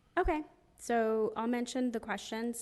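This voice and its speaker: Speaking at a fairly slow pace, a woman with a plain, everyday voice and a fairly high pitch uses ordinary pitch variation. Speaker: public commenter, property owner. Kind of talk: public comment at council meeting.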